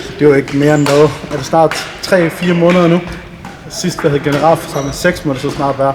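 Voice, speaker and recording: Noticeable background noise sits behind a man whose fairly high, monotone voice moves at a fairly quick pace with flat intonation. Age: 20s. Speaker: sports club team leader. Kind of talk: interview. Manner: halting.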